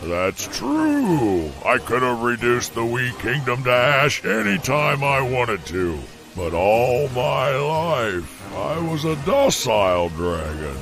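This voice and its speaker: A man puts on a cartoonish character voice at a medium pitch and a fairly slow pace. Clear music plays in the background. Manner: grandiose, formal.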